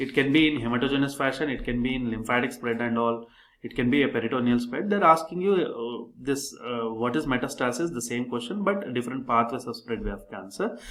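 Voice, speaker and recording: A man speaks at a medium pitch and a fairly quick pace, with hardly any pauses. Noticeable background noise runs underneath. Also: ordinary pitch variation. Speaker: doctor and exam coaching tutor. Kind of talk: tutorial. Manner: halting; fast.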